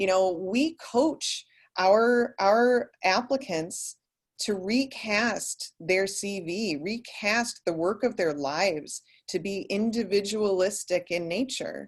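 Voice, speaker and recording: With an American accent, a woman speaks at a very slow pace with lively intonation. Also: medium pitch for a woman. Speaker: architecture leader, speaker. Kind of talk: panel presentation.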